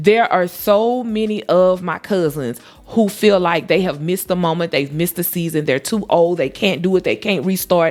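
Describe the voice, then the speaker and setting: Music in the background behind a woman's voice at a medium pitch. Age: 40s. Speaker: lifestyle vlogger. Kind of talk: casual monologue to camera. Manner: loud, outgoing; animated.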